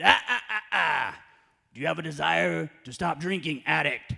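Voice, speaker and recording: Putting on a character voice, a man speaks at a moderate pace and a fairly high pitch, with very wide pitch swings and big swings in loudness. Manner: stern, interrogating.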